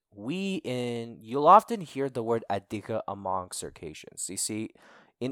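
Dry and close with no echo, this very clean recording with a silent background has a man with an American accent and a normal speaking voice talking at a medium pitch with lively intonation. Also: big swings in loudness. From United States. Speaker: Circassian activist and podcaster. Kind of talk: casual interview.

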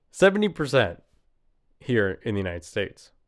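Vocal fry runs through a man's speech. His voice rises and falls across a very wide range. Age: 30s. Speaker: podcast host. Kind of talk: solo monologue podcast. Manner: casual, rambling with frequent fillers.

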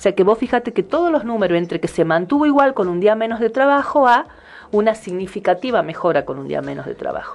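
A woman speaks at a very fast pace in a fairly high pitch. Her pitch swings very widely. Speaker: radio host. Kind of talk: casual chat.

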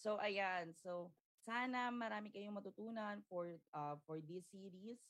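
Her intonation is lively. The woman has an unremarkable speaking voice. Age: young. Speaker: podcast host. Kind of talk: livestream interview. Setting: livestream.

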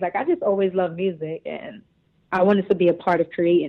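A woman with a New York accent speaks at a fairly quick pace in a medium pitch. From Brooklyn, New York. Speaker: singer and cosmetics entrepreneur. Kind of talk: casual interview. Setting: phone call.

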